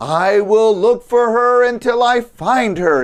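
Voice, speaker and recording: Here a man uses a put-on character voice, high in pitch. He talks at a fairly slow pace. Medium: read story.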